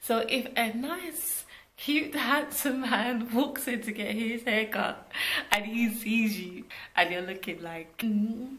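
A woman speaks very slowly in a fairly high voice. Her pitch rises and falls in an ordinary way. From Britain. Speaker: vlogger and entrepreneur. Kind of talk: casual vlog talk to camera. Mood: cheerful, animated. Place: home room. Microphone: phone near.

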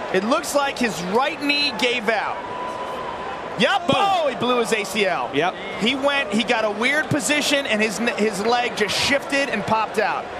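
A man at a fairly slow pace, with loud background noise and a dry sound with no echo. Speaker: fight color commentator. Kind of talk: live commentary.

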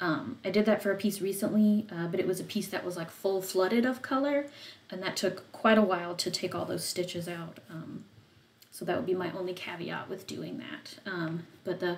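At a moderate pace, a woman speaks somewhat breathily, with ordinary pitch variation over light background noise. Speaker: craft stream host. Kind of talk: tutorial. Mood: relaxed, calm.

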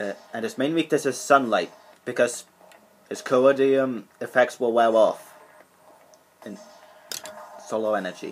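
A man speaks at a fairly slow pace, leaving long, frequent pauses. His intonation is lively. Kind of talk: casual show-and-tell commentary. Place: home room. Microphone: webcam.

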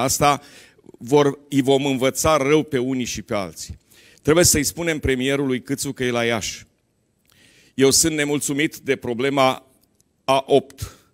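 A man speaks at a fairly slow pace with fairly even intonation. Behind him the background is quiet. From Romania. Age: 60s. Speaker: politician. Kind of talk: political speech. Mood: dissatisfied, critical. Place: hall. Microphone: handheld.

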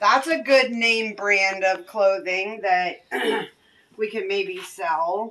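Very slow speech from a woman, ordinary pitch variation throughout. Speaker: storage unit reseller. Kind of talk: casual vlog chat. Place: street. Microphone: phone near.

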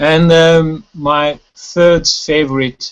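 A man speaks in a Hungarian accent. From Hungary. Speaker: wilderness conservation chairman; guest. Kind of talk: casual chat. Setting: video call. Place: home room. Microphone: video call.

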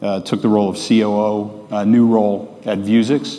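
This man's voice sits fairly low in pitch, with monotone, flat intonation. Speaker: presenter. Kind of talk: conference talk. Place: stage. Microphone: lapel.

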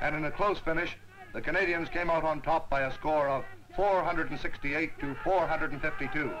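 A man with a plain, everyday voice, fairly high-pitched, at a fairly quick pace and fairly even intonation, with light background noise. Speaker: newsreel narrator. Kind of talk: newsreel narration. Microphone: old recording.

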